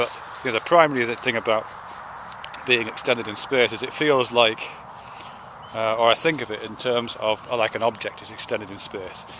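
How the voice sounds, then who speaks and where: A man with a British accent speaks at a fairly quick pace and a medium pitch, with fairly even intonation, big swings in loudness and long, frequent pauses, over noticeable background noise. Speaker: video blogger. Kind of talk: casual spoken video essay. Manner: slurring; halting, many fillers and restarts.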